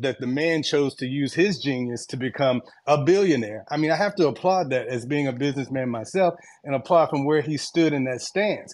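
With an American accent, a man talks at a fairly quick pace in an unremarkable speaking voice with lively intonation. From Washington DC area (US). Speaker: panelist in live audio room. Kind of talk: casual discussion. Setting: online audio room.

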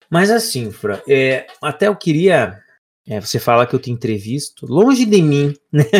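A man speaks at a fairly slow pace in a fairly high pitch. His voice is somewhat breathy, with very wide pitch swings. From Brazil, Paraná (Lapa). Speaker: podcast co-host. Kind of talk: casual chat.

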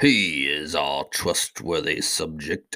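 A man uses a put-on character voice, very deep and low in pitch, at a very slow pace. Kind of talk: formal, royal. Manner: stately, dignified.

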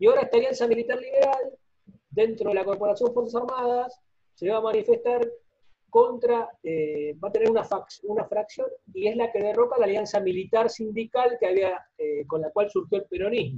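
A man at an extremely high pitch, ordinary in pitch variation, at a moderate pace. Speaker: sociologist and party activist. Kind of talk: lecture. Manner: quiet. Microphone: quiet, odd-sounding audio.

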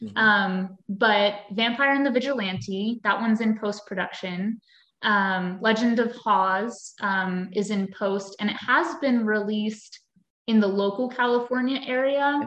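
A woman speaks at a fairly slow pace with an American accent. Hers is an unremarkable speaking voice. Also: fairly high pitch for a woman, ordinary pitch variation. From US, Pennsylvania. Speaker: actress. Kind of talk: interview. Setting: video call.

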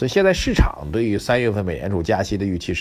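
At a fairly quick pace, a man talks in an animated tone with a fairly low pitch. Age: 40s. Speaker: financial commentator podcast host. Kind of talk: solo market commentary, casual. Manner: animated, conversational.

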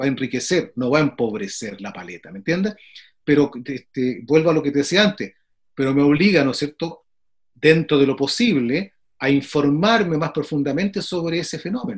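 At a fairly quick pace, a man speaks with fairly high pitch and very wide pitch swings. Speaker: flutist and music professor. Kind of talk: casual interview. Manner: frequent filler phrases.

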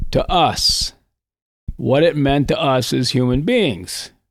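A man's fairly high voice with an Upper Midwest accent, at a very slow pace. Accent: Upper Midwest (Minnesota). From northern Minnesota, Iron Range. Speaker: retired high school English teacher. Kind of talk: casual interview.

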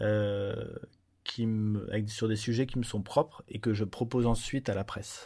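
Recorded very cleanly against a silent background, a man speaks in a dark, mellow tone at a fairly low pitch. His delivery is fairly slow, monotone and flat. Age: 30s. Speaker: photojournalist. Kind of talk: interview. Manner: halting, many hesitations.

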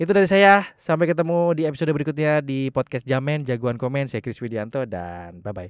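On a very clean recording with a silent background, a man talks at a fairly quick pace with very wide pitch swings and hardly any pauses. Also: fairly high pitch for a man. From Java, Indonesia. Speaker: podcast host. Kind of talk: casual monologue.

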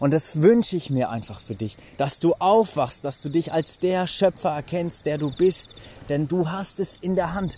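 A man speaks in an animated tone with a high pitch. His intonation is lively. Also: fairly slow pace. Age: 20s. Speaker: life coach and podcaster. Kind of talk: motivational monologue. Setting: outdoors.

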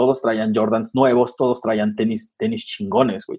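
With lively intonation, a man speaks in a plain, everyday voice at a medium pitch and a moderate pace. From Nezahualcóyotl, Mexico City area. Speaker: sneaker media creator. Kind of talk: casual interview chat.

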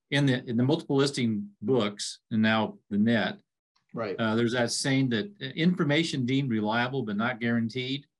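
A man with a plain, everyday voice talks at a moderate pace and medium pitch, with ordinary pitch variation and a quiet background. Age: 60s. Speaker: realtor and real estate instructor. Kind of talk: casual interview.

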